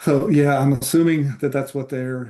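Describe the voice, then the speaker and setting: A man's medium-pitched voice with an American accent, dark, mellow tone and moderate pace. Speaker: historian and author, former Navy SEAL. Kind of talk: interview conversation.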